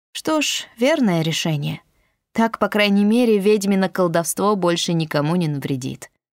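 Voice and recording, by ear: The background is quiet while the speaker reads aloud in a natural voice.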